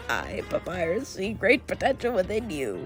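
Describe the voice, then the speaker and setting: A put-on character voice comes through at a fairly high pitch and a moderate pace. Clear music plays in the background. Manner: bombastic, theatrical, proud.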